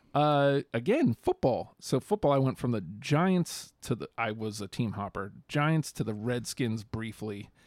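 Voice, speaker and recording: A man with an American accent and a normal speaking voice talks at a medium pitch and a fairly slow pace, with lively intonation and hardly any pauses, in a dry, close recording with no echo and a very clean, silent background. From New York, US. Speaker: podcast co-host. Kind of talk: casual chat.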